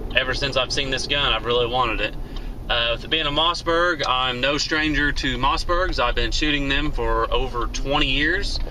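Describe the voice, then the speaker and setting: At a moderate pace, the voice holds a very even loudness over light background noise. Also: man. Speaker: shooting hobbyist vlogger. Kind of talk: casual vlog chat. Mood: relaxed, friendly. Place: car. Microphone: phone near.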